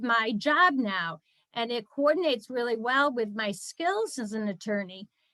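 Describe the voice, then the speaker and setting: A woman speaks with a high pitch, a bright, sharp tone and lively intonation at a fairly slow pace. The background is quiet. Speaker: attorney and fundraiser presenting a nonprofit training. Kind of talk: webinar presentation. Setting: video call.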